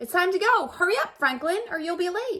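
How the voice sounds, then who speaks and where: A woman puts on a squeaky character voice at an extremely high pitch, speaking at a fairly quick pace with lively intonation. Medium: read story. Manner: cheerful, carefree.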